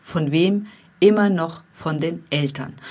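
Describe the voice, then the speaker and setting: The speaker has a non-native accent and talks at a very slow pace. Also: woman. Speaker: life coach for women; podcast host. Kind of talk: motivational monologue.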